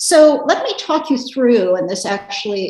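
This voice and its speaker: Very wide swings in pitch from a woman, against noticeable background noise. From United States. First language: Russian. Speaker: policy analyst. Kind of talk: panel discussion. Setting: video call.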